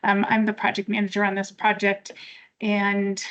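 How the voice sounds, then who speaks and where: At a moderate pace, a woman of medium pitch talks in an ordinary speaking voice. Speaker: engineering consultant, project manager. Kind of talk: public meeting presentation. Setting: public meeting with in-person and online audience.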